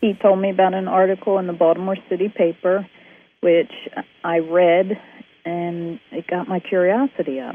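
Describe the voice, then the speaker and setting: A woman with an unremarkable speaking voice, medium in pitch, at a moderate pace, with fairly even intonation. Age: 50s. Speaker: interview guest sharing health story. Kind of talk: testimony.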